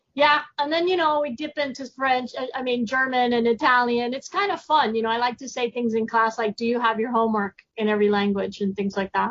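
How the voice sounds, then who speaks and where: Speaking at a fairly quick pace with hardly any pauses, a woman with a Spanish accent has a high pitch and ordinary pitch variation. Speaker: science teacher. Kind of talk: podcast interview.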